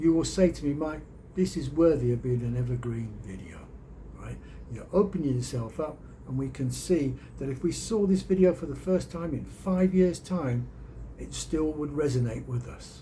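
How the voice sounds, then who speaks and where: With a Birmingham accent, a man talks at a moderate pace with big swings in loudness. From England, Birmingham. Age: 60s. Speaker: YouTuber and storyteller. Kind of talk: casual vlog monologue.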